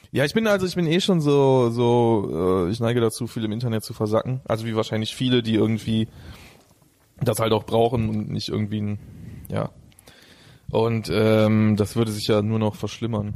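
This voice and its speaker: A man with a dark, mellow, medium-pitched voice speaks at a moderate pace. His pitch varies in an ordinary way, and he takes long, frequent pauses. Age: 30s. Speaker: rapper. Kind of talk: casual chat. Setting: host's home.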